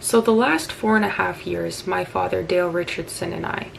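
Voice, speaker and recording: Over noticeable background noise, a woman speaks at a moderate pace with a Canadian accent. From Saskatchewan, Canada. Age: 20s. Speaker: political campaign supporter. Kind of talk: political appeal to camera.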